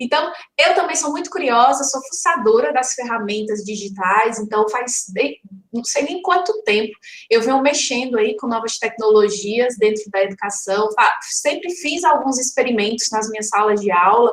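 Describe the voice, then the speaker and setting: Noticeable background noise sits behind the voice. The intonation is lively and the pace moderate. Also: woman, fairly high pitch for a woman. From Ceará, Brazil. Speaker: educator, conference speaker. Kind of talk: online lecture. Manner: conversational, many fillers.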